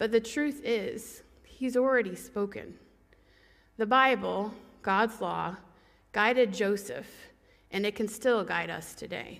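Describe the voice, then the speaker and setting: A woman speaks at a very slow pace with long, frequent pauses, vocal fry, and ordinary pitch variation. The background is quiet. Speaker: preacher. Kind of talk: sermon. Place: church. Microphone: headset.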